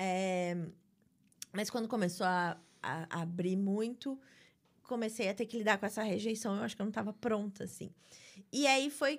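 On a very clean recording with a silent background, a woman of medium pitch talks at a moderate pace with ordinary pitch variation and long, frequent pauses. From Brazil, Rio de Janeiro (Barra da Tijuca). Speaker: writer. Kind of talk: interview conversation.

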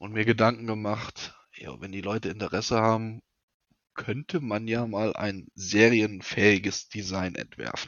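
A normal speaking voice, this man's is fairly low-pitched and fairly slow, with fairly even intonation. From North Rhine-Westphalia, near Siegen. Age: 30s. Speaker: knife maker. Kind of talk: casual interview.

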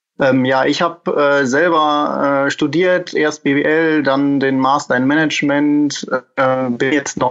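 This is a man speaking. His pitch is fairly high. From Germany, Münsterland. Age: 20s. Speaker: egg packing business manager. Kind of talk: interview. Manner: halting, many fillers.

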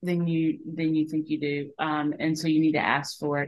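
A woman in a Southern US accent talks at a moderate pace. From Aiken, South Carolina. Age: 50s. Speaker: business co-founder. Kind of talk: interview.

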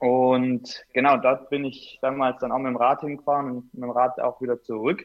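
A man's medium-pitched voice in a monotone, flat intonation at a moderate pace. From Swabia, Bad Urach (Baden-Württemberg). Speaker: mountain bike racer. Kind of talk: casual interview.

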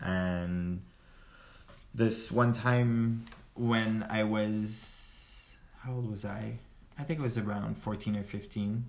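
Long, frequent pauses break up very slow speech in a French accent, delivered with fairly even intonation amid audible room echo. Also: man, fairly low pitch for a man. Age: 20s. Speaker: friend of host. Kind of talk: casual chat.

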